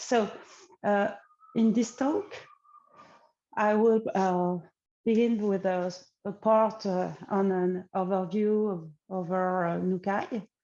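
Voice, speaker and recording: In a French accent, a woman speaks very slowly at a medium pitch, her tone dark and mellow, her intonation fairly even, with long, frequent pauses. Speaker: AI researcher. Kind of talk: conference talk. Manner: halting, many fillers.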